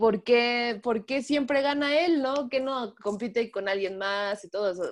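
Female speech, fairly slow, its pitch varying in an ordinary way. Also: quiet background. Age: 20s. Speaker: race track marshal and illustrator. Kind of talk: interview. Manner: halting, many fillers.

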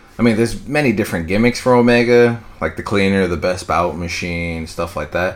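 A man with a plain, everyday voice speaks at a fairly quick pace with hardly any pauses, his fairly low pitch carrying ordinary variation. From New York. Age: 20s. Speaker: wrestling podcaster. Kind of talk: solo podcast commentary. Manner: casual with frequent fillers.

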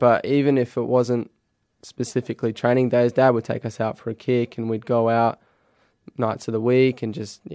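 In an Australian accent, a man speaks with a dark, mellow tone. His pace is moderate and his intonation monotone and flat. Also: medium pitch for a man, dry, close sound with no echo. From Adelaide, South Australia. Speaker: professional footballer. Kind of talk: casual interview. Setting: studio.

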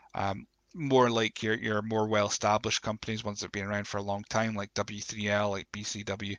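Croaky and fairly low in pitch, a man talks at a fairly quick pace with little pitch movement, in a dry, close sound with no echo. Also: fairly bright tone.

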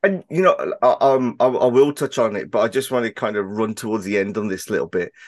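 A man with a Birmingham accent at a fairly quick pace, hardly any pauses, a dry, close sound with no echo and a quiet background. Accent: Birmingham English, noticeable. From Birmingham, England. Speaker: podcast host. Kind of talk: casual interview chat. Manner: fast talker, hesitant with fillers.

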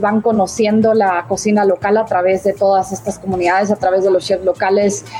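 Over noticeable background noise, a woman speaks in a monotone, flat intonation with very even loudness and hardly any pauses. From Guatemala. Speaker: humanitarian aid operations manager. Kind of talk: interview.

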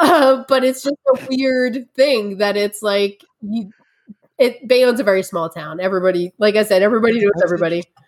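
Lively in intonation, a woman with a New York accent talks at a fairly quick pace in a fairly high pitch. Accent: New York area. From New Jersey. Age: 30s. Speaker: tea educator. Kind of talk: interview.

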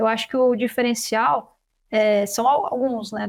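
A woman talks at a fairly slow pace with a fairly high pitch and ordinary pitch variation. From Brazil, São Paulo city. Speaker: veterinarian and animal science researcher. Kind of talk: interview. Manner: halting, frequent repetitions.

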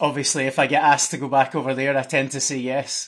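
Over a quiet background, a man with a Glasgow accent talks at a fairly quick pace in a bright, sharp tone at a fairly high pitch. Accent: Scottish (Glasgow). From Scotland. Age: 30s. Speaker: parkour coach and development manager. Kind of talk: casual interview.

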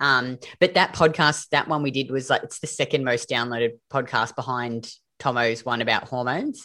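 A woman speaks with an Australian accent at a very deep, low pitch and a moderate pace. Her pitch variation is ordinary, and the recording is very clean with a silent background. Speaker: podcast host and metabolism coach. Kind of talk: casual interview chat.

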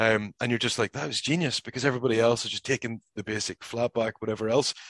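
With a Northern Irish accent, a man speaks at medium pitch. His pace is fairly quick, and the sound is dry and close with no echo. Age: 30s. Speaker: professional wrestler. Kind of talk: casual interview. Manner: halting, frequent repetitions.

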